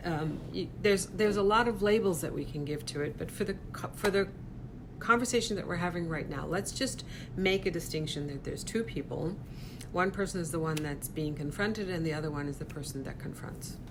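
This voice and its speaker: Audible room echo frames a woman with a fairly low pitch. She talks at a fairly quick pace with lively intonation. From Persian community. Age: 60s. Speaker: image consultant and speaker. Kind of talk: live stream talk. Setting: live stream.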